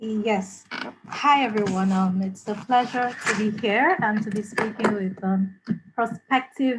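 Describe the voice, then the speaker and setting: Fairly slow and fairly even in intonation, the speech comes out somewhat breathy. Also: woman. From Nigeria (Lagos). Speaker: business school alumnus. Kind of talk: panel introduction. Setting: video call. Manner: hesitant, many fillers.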